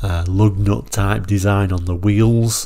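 A man with a British accent speaks in a very deep, low, somewhat breathy voice, dark and mellow in tone, with fairly even intonation. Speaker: car brochure reviewer. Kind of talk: solo video review.

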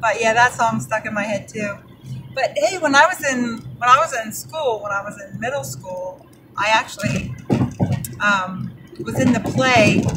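Noticeable background noise sits behind the voice. A woman talks at a fairly slow pace. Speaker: mail carrier vlogger. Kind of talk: casual vlog chat. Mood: cheerful, laughing. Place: car. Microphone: phone near.

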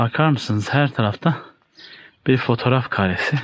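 The speech moves at a fairly slow pace with ordinary pitch variation. The sound is dry with no echo, with light background noise. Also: man. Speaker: travel vlogger. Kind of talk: casual vlog narration. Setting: outdoors. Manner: animated. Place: forest. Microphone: phone near.

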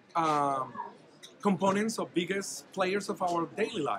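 Noticeable background noise sits behind speech delivered at a moderate pace. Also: man. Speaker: dental radiology expert. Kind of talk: interview answer. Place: hall. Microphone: phone near.

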